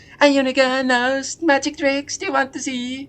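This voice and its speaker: A put-on character voice with a high pitch. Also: moderate pace. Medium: game stream. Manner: pushy, cheeky.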